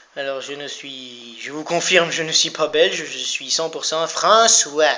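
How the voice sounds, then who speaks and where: Over noticeable background noise, a man speaks at a fairly slow pace with a fairly high pitch. His pitch varies in an ordinary way, while his loudness swings widely. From France (Vosges / Landes). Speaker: gaming youtuber. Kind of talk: let's play commentary. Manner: animated.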